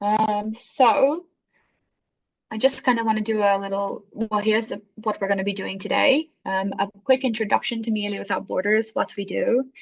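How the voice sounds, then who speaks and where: Her voice is somewhat breathy. This woman's pitch sits fairly high. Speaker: social worker and workshop facilitator. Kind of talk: online workshop presentation. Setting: video call. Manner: fast.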